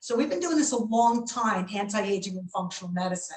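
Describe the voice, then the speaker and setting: The pace is moderate, with lively intonation. It is a normal speaking voice. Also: woman. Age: 60s. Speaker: doctor. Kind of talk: webinar lecture.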